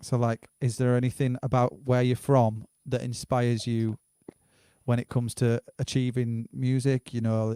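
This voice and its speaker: A man with a northern English accent speaks at a moderate pace in a dark, mellow tone, his intonation monotone and flat. The sound is dry and close with no echo, and his loudness stays very even. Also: medium pitch for a man. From northern England. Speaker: livestream host. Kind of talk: casual interview.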